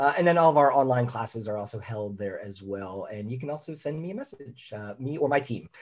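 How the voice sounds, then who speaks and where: An ordinary speaking voice with an American accent, fairly quick in pace and lively in intonation. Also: man. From US Northeast, Philadelphia. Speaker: leadership consultant and author. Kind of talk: interview.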